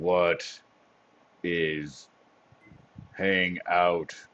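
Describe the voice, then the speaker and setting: A man in a put-on character voice with a very deep, low pitch. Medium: actual play. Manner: halting broken speech, short words.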